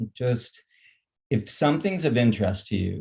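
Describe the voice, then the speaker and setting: A man speaks at a moderate pace with a somewhat breathy voice. His tone is dark and mellow, and the background is quiet. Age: 60s. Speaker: nonprofit founder. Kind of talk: panel discussion. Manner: halting.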